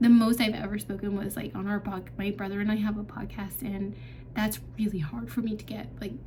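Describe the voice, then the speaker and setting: Noticeable background noise and audible room echo fill the recording. The woman talking keeps a fairly quick pace. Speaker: vlogger. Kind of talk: casual Q&A vlog. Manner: hesitant, many fillers.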